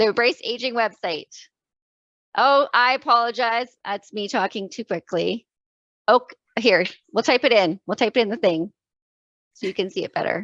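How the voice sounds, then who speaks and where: A woman talks at a fairly high pitch with lively intonation and long, frequent pauses. The sound is dry and close with no echo, over a quiet background. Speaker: event moderator. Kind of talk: webinar closing remarks. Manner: fast.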